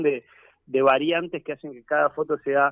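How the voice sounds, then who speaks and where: A man with a fairly high pitch talks in a plain, everyday voice. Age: 40s. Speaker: teacher and filmmaker. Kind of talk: radio interview.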